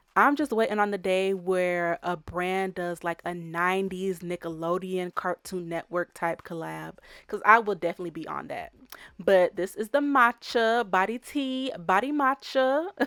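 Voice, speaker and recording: Recorded very cleanly against a silent background with a dry, close sound and no echo, a woman speaks at a moderate pace with medium pitch, an animated tone and lively intonation. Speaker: fashion vlogger. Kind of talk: casual shopping vlog walkthrough. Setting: outdoors at outlet stores.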